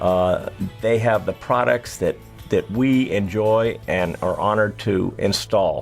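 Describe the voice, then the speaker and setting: Over music in the background, a man speaks at a very slow pace with very even loudness. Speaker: air conditioning company owner or manager. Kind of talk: promotional interview talking about his business.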